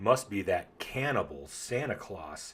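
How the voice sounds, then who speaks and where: Growling in a put-on character voice, a man speaks fairly slowly at a medium pitch. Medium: read story. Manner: gruff, commanding.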